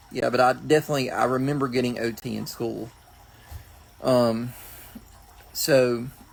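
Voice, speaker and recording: Speaking at a moderate pace, a man keeps a monotone, flat delivery with long, frequent pauses. Noticeable background noise runs underneath. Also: medium pitch for a man. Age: adult. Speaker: vlogger with Prader-Willi syndrome. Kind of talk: casual vlog talk. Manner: hesitant, many fillers.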